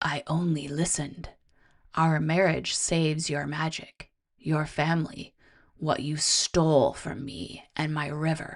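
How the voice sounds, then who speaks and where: In a resonant, put-on character voice, the speaker talks fairly slowly at a middle pitch. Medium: read story. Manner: gentle, solemn.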